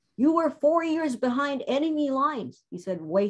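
A woman speaks at a fairly slow pace with very wide pitch swings against a quiet background. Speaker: guest. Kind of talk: interview answer. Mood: emotional, warm. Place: home room. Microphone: video call.

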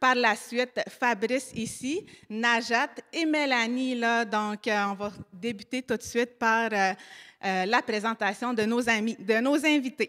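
A woman speaks at a very slow pace with a bright, sharp tone. The background is quiet. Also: ordinary pitch variation. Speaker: panel moderator. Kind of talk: live panel moderation. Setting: live panel at a community centre. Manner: halting. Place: hall. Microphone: handheld.

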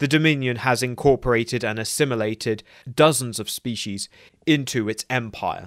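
A man with a plain, everyday voice at medium pitch, fairly even intonation and a moderate pace, in a dry, close sound with no echo on a very clean recording with a silent background. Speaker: lore video narrator. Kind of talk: scripted narration.

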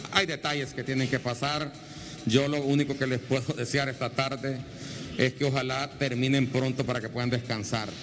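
Noticeable background noise sits behind a man speaking at a moderate pace. His intonation is flat and monotone. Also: medium pitch for a man. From Honduras, Comayagua; Honduras. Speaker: TV news reporter; TV host presenter. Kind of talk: on-location interview. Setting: on location at an airport. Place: station. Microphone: handheld.

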